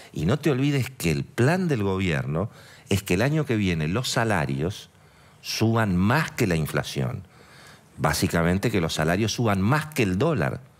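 A man with an Argentine accent talks at a fairly slow pace and a fairly low pitch. His loudness stays very even while his pitch swings very widely. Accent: Argentine Spanish (Rioplatense). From Argentina. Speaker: economic journalist. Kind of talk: TV interview. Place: studio. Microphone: headset.

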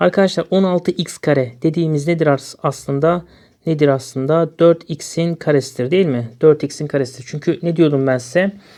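Speech proceeds at a moderate pace. Nothing can be heard in the background. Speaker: math teacher. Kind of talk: tutorial.

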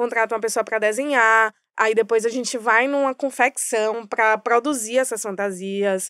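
Against a quiet background, a woman with a bright, sharp tone talks at a moderate pace with hardly any pauses, fairly even intonation, and a dry sound with no echo. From Bahia, Brazil (Salvador metro area); Bahia, Brazil. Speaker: advertising strategy director; podcast guest. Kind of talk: podcast interview. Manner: halting, many fillers. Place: studio. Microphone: studio mic.

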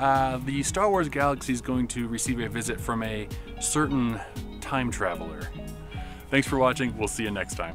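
Over clear music in the background, a man talks at a moderate pace with a dry sound and no echo. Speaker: filmmaker. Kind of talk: casual talk to camera. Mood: friendly, upbeat. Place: farm machine. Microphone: phone near.

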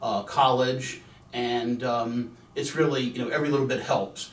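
A man with an American accent, fairly even intonation and a moderate pace, in audible room echo. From Virginia. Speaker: attorney. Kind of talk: promotional talk. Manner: casual, with filler words. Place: studio.

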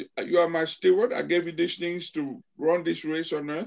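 With vocal fry and fairly high pitch, the man talks at a moderate pace with ordinary pitch variation.

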